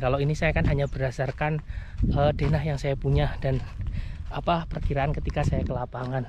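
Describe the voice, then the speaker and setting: Noticeable noise sits in the background. The speech moves at a fairly quick pace. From Java, Indonesia. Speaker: vlogger, home buyer. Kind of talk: walking vlog commentary. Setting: outdoors, walking on a construction site. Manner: casual, many fillers.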